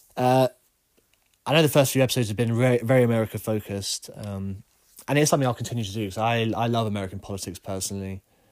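Speaking very fast with an English accent, a man keeps to a medium pitch with ordinary pitch variation on a very clean recording with a silent background. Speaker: podcast host. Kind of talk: solo opinion monologue.

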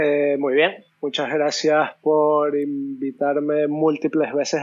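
This is a man speaking. His pace is very slow. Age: 20s. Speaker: tattoo artist and illustrator. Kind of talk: casual interview.

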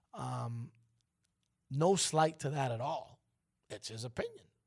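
A man with an American accent talks at a very slow pace. His voice is fairly high-pitched and somewhat breathy. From New York, later Miami. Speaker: radio host. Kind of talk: casual morning radio chat. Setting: radio studio. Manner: animated.

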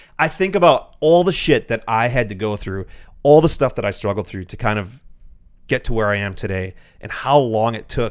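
A plain, everyday voice from a man, medium in pitch, fairly quick and lively in intonation, on a very clean recording with a silent background. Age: 30s. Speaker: YouTuber and vlogger. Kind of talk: casual chat.

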